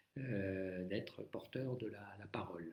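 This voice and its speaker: A man speaks at a very slow pace with vocal fry and ordinary pitch variation. Audible room echo surrounds his voice. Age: 70s. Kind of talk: live-stream talk on faith. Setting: Facebook live stream. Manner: hesitant, many fillers.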